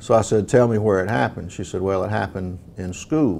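This man has a low pitch and a slightly mellow tone. Vocal fry runs through his speech. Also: ordinary pitch variation, moderate pace.

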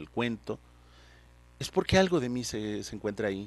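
A man speaks in a dry sound with no echo. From Hidalgo, Mexico. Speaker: poet. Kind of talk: interview answer. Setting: studio. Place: studio. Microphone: handheld.

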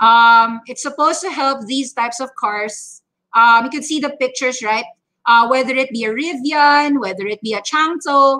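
In a raised, projected voice, a woman speaks at a moderate pace with a high pitch and a bright, sharp tone. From Philippines. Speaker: stock trading educator; market commentator host. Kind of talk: market update livestream. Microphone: webcam.

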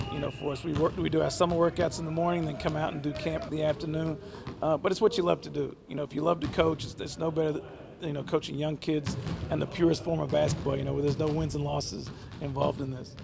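A man rushes along at a very fast pace, intonation fairly even, with noticeable noise behind him. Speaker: basketball coach. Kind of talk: interview answer. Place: hall. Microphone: handheld.

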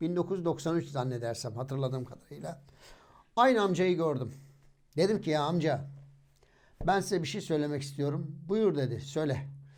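A man talks at a moderate pace, leaving long, frequent pauses. His pitch sits fairly high, with ordinary variation. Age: 40s. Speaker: religious YouTuber, hafiz. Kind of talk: religious storytelling monologue.

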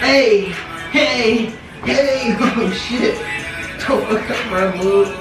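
Music plays in the background as a woman talks at a very slow pace. Her pitch variation is ordinary, and the room echo is audible. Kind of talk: casual playful banter. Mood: playful, teasing. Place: home room. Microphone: camera far.

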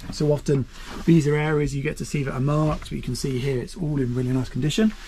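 A man's dark, mellow, somewhat breathy voice over light background noise. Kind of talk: walkthrough commentary. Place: boat. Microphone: phone near.

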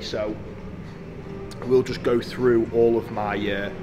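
Noticeable background noise runs under the voice. Its pitch variation is ordinary. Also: man. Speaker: fitness vlogger. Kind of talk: casual vlog chat. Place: gym.

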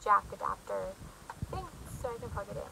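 Noticeable background noise behind a woman's moderately paced speech. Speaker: vlogger. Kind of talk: casual vlog chat. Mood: apologetic, warm. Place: home room. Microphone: phone near.

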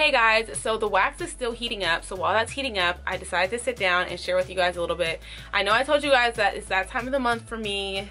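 A woman talks at a very fast pace with ordinary pitch variation while faint music plays in the background. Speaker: lifestyle vlogger. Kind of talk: casual vlog chat. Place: bathroom.

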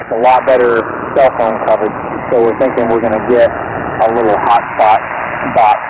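Noticeable background noise behind a man's voice, the sound dry with no echo. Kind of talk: radio contact conversation. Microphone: two way radio.

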